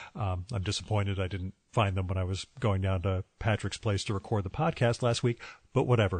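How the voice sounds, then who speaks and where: Ordinary pitch variation runs through this voice. There is a somewhat breathy quality to it. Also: man. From New Jersey, US. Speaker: podcast host. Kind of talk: casual interview.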